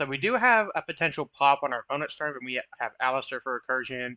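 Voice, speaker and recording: This man's tone is bright and sharp, his pitch fairly high and his intonation lively. The sound is dry and close with no echo, over a quiet background. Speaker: gaming commentator. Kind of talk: gameplay commentary. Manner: stuttering at times; casual.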